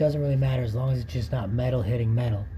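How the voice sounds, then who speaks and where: A man speaks at a medium pitch with ordinary pitch variation. Audible room echo surrounds the voice. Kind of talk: tutorial. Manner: casual.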